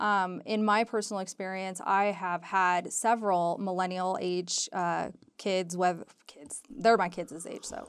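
An unremarkable speaking voice, a woman with an American accent talks at a fairly slow pace and medium pitch, with fairly even intonation and big swings in loudness on a very clean recording with a silent background. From Southern California. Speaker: real estate agent. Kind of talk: radio interview.

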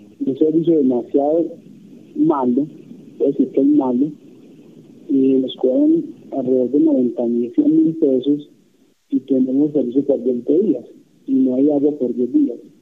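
A man speaks at a fairly slow pace with long, frequent pauses. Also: very even loudness. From Colombia, Quindío (Montenegro). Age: 20s. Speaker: citizen caller. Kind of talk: call-in question to an official. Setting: phone call. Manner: halting.

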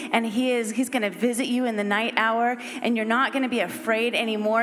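Over music in the background, a woman with a high pitch talks at a moderate pace. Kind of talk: prophetic ministry. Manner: earnest.

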